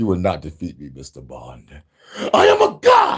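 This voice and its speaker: A man speaks at a moderate pace in a raspy, put-on character voice. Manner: raging, emotional.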